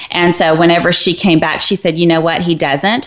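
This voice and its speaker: Speaking at a fairly quick pace, a woman with a fairly low pitch is heard over noticeable background noise. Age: 40s. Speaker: fitness trainer and health writer. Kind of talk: casual chat. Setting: studio.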